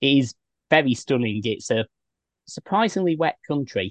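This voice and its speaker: The voice carries a British accent and lively intonation at a moderate pace. The sound is dry and close, with no echo. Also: man. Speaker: travel podcast host. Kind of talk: casual interview. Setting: in a van at a campsite. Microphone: choppy connection early on.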